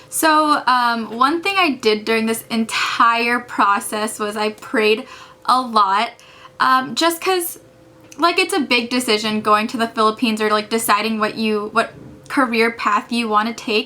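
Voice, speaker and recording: Noticeable background noise sits behind a woman speaking at a fairly slow pace with an American accent. Her pitch is fairly high, with ordinary pitch variation. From California. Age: 20s. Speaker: medical student vlogger. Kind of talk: casual vlog talk. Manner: casual, many fillers like and um.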